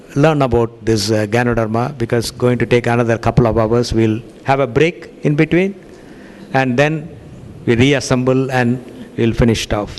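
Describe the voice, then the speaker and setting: Over noticeable background noise, a man speaks at a medium pitch with ordinary variation, very even loudness, and long, frequent pauses. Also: moderate pace. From India. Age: 60s. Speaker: cardiologist giving a health lecture. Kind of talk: lecture with consecutive interpretation. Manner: halting, many fillers.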